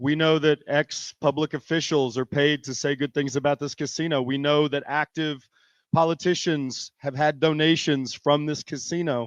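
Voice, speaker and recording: At a moderate pace, the speaker uses a monotone, flat intonation, recorded with a dry, close sound with no echo and a quiet background. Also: man, fairly high pitch for a man. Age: 50s. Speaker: arts nonprofit manager. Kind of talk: public hearing testimony.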